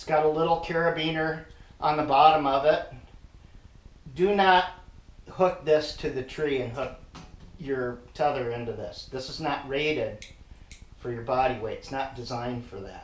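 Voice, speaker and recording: A man at a fairly high pitch and moderate pace, with long, frequent pauses, audible room echo and noticeable background noise. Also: ordinary pitch variation, big swings in loudness. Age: 60s. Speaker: hunting gear reviewer. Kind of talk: product demonstration tutorial. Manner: casual, with frequent hesitations.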